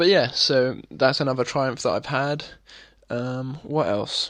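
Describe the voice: Pacing himself fairly slowly, a man talks at a medium pitch with a fairly bright tone. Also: ordinary pitch variation.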